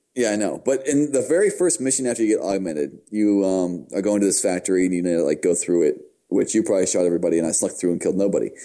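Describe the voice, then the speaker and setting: With an American accent, a man talks at a very fast pace with hardly any pauses, using a fairly low pitch, a dark, mellow tone, lively intonation and very even loudness, all over a quiet background. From United States. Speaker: gaming podcast co-host. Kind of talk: casual chat.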